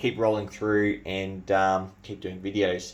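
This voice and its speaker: This man speaks with an Australian accent. His pitch sits fairly low. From New Zealand. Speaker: bayonet collector and video creator. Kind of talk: show-and-tell video. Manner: casual, with hesitations.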